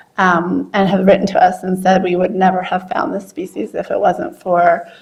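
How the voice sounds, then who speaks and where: With noticeable background noise behind her, a woman speaks at a moderate pace in a medium-pitched voice with fairly even intonation. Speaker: scientist presenting at a workshop. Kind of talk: presentation talk.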